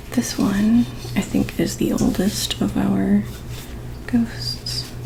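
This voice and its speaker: Soft-spoken and whispering, a woman talks at a very slow pace amid noticeable background noise. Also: very even loudness. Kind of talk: ASMR show and tell, casual talk to camera. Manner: whispered, soft-spoken.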